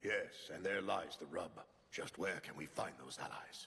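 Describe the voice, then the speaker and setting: A man does a cartoonish character voice. He keeps a moderate pace. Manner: formal, articulate.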